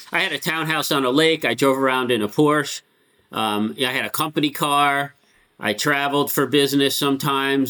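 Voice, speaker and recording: A man at medium pitch talks fairly quickly with a bright, sharp tone and ordinary pitch variation. The recording is very clean, with a silent background. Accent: American. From Connecticut. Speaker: rabbi. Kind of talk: interview. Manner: casual, filler-heavy.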